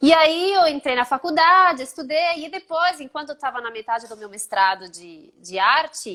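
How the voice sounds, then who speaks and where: Speaking in a raised, projected voice with a slight Italian accent, a woman with a high pitch and a bright, sharp tone moves at a moderate pace with hardly any pauses, very wide pitch swings and big swings in loudness. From Italy. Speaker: art historian. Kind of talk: interview. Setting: live stream.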